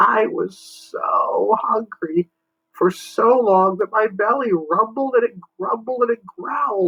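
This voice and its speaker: A man does a put-on character voice pitched extremely high. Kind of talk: bedtime story. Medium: read story. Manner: polite, good-mannered.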